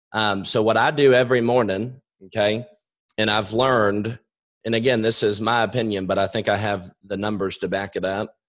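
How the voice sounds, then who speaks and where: This man's voice is fairly low in pitch. He talks at a moderate pace. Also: fairly even intonation. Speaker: insurance sales agent. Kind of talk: webinar presentation.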